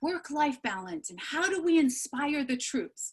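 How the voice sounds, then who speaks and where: With an animated tone and lively intonation, a woman speaks at a moderate pace. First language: not English. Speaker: keynote speaker. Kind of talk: keynote speech.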